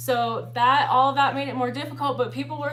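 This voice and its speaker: Audible room echo and noticeable background noise surround a woman talking at a fairly quick pace. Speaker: exotic dancer and vlogger. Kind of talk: livestream casual talk. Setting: livestream. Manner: fast; casual, filler-heavy.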